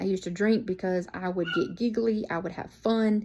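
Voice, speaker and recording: Her tone is dark and mellow, her intonation fairly even. The woman is heard in a very clean recording with a silent background. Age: 40s. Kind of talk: sermon. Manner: casual.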